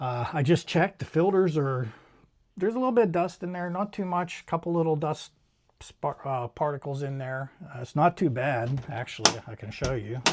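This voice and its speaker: A man talks at a moderate pace in a fairly high, somewhat breathy voice. His intonation is lively and his loudness swings widely. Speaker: DIY home improvement youtuber. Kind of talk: tutorial. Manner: hesitant, filler words.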